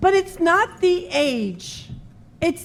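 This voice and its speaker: A woman is speaking. Her voice is high-pitched. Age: 50s. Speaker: minister. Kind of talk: sermon. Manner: conversational.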